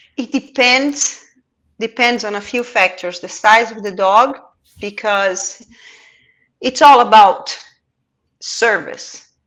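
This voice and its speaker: On a very clean recording with a silent background, a woman with a non-native accent speaks at a very slow pace and a fairly high pitch, with ordinary pitch variation, long and frequent pauses, and big swings in loudness. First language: not English. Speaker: pet transport expert. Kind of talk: casual chat.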